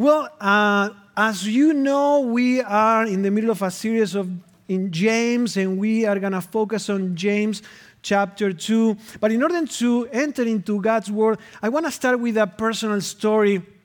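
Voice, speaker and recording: A man with a Spanish accent talks at a moderate pace, his pitch high with ordinary variation. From Argentina. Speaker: pastor. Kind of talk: sermon. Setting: church.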